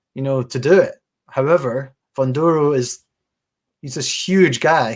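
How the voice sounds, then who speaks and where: A man in a Scottish accent talks at a fairly slow pace with a fairly high pitch and big swings in loudness. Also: ordinary pitch variation. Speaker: boxing podcast host. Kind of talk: casual chat. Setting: live stream.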